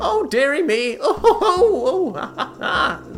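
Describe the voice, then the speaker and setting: Over clear background music, a man in a put-on character voice cackles at an extremely high pitch, with very wide pitch swings and a moderate pace. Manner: mad, cackling.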